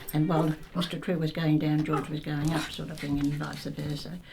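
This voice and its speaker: A woman with an Australian accent speaks at a moderate pace in a very deep, low pitch. Audible room echo surrounds her voice. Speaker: local elder recalling the past. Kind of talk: oral history interview.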